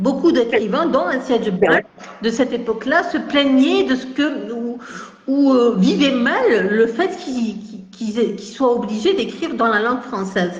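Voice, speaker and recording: A woman's high-pitched voice with lively intonation at a fairly slow pace, with audible room echo and noticeable background noise. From Algeria, Kabylie. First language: Kabyle mixed with French (speaking French). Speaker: writer and academic. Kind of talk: interview. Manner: halting, many hesitations.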